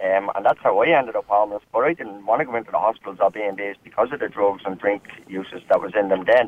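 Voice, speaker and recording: A man with an Irish accent talks at a very fast pace and a fairly low pitch. There are hardly any pauses. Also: ordinary pitch variation. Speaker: homeless charity worker. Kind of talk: talk radio phone-in. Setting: phone call.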